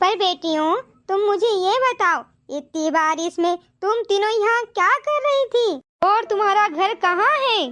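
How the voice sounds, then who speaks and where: A woman does a cartoonish character voice at an extremely high pitch with lively intonation. She speaks at a fairly slow pace with very even loudness. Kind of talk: village cartoon melodrama. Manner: warm, motherly.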